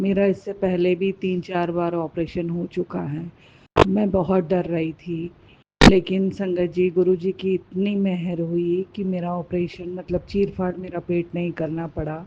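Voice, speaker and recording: Soft-spoken and fairly low in pitch, a woman talks in a flat monotone. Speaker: devotee sharing testimony. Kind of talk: testimony. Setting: hospital.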